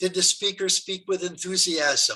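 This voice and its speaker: Slow-paced but not sluggish, a man with an American accent uses a high pitch, a bright, sharp tone and fairly even intonation at a fairly slow pace. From Brooklyn, New York. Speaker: public speaking trainer. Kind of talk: training lecture.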